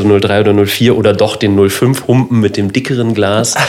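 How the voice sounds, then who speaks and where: A man speaks in a flat monotone at a fairly low pitch. Noticeable background noise and audible room echo run through the clip. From Lower Saxony, northern Germany. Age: 30s. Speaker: cultural centre manager. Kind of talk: casual chat.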